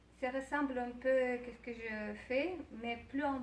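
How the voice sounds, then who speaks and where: The voice moves at a very slow pace with fairly even intonation, with noticeable background noise and audible room echo. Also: woman. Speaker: psychologist and wellness coach. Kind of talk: interview. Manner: halting.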